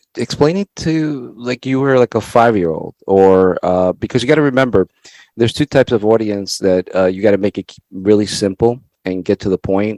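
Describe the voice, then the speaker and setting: A man's fairly low voice at a fairly quick pace, ordinary pitch variation, dry and close with no echo. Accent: Spanish. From El Salvador. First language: Spanish. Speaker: networking show host. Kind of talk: interview.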